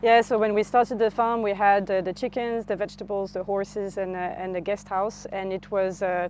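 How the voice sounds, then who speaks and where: In a French accent, the speaker talks at a fairly quick pace with hardly any pauses and flat, monotone intonation while music plays in the background. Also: woman, medium pitch for a woman. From France (Normandy). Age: 40s. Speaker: farmer. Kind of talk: interview.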